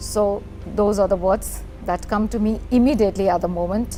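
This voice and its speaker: An Indian accent with fairly even intonation, over music in the background. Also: woman. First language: Hindi. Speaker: poet and teacher. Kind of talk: TV interview.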